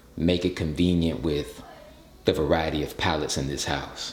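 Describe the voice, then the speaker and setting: With audible room echo, a man speaks at a very deep, low pitch with vocal fry, fairly even intonation and a fairly slow pace. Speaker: YouTuber dad and sponsored video host. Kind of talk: casual vlog-style sponsored presentation.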